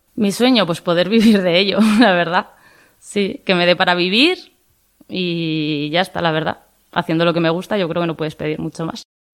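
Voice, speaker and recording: A woman with a normal speaking voice talks at a moderate pace, her fairly low pitch showing ordinary pitch variation. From Navarre, Spain (Tudela). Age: 20s. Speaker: farmer. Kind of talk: interview testimony.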